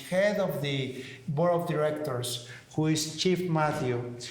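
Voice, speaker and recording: A man with a Mexican accent talks at a fairly slow pace, his pitch fairly high and his intonation fairly even. The room echo is audible and background noise is noticeable. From Mexico City. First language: Spanish. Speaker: talk show co-host. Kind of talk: casual interview chat. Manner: halting, with fillers.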